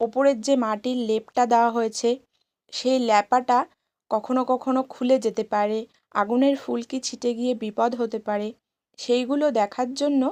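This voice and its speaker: A high-pitched woman's voice with monotone, flat intonation and a dry, close sound with no echo, on a very clean recording with a silent background. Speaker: clay craft artisan and vlogger. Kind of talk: tutorial vlog narration.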